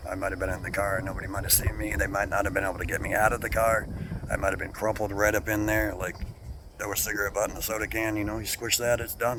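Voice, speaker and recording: Noticeable background noise sits behind the clip. A man talks at a very fast pace. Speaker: vlogger, accident survivor. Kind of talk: casual vlog monologue.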